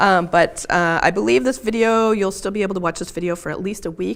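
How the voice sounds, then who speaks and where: A woman talks at a moderate pace with vocal fry. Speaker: crochet designer and instructor. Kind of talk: tutorial. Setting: live stream. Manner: casual, many fillers.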